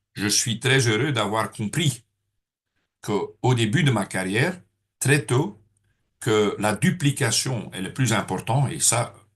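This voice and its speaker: Over a quiet background, a man with a somewhat breathy voice speaks at a very slow pace with ordinary pitch variation. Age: 60s. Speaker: network marketing trainer. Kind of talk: training seminar. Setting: room with audience. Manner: hesitant, many filler sounds.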